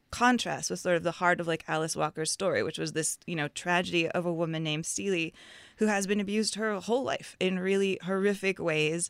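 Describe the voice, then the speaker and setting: A normal speaking voice moves at a fairly quick pace with ordinary pitch variation, in dry, close sound with no echo on a very clean recording with a silent background. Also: woman. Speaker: film critic. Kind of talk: film review discussion.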